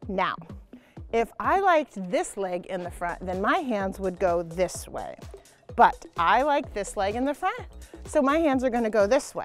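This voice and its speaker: Over faint music in the background, a woman speaks at a moderate pace in a dry sound with no echo. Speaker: gymnastics coach. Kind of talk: tutorial. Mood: playful, encouraging. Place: street. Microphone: lapel.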